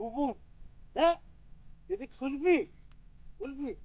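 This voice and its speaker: This is a put-on character voice. It sits at a high pitch. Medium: short film. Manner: mocking, bossy.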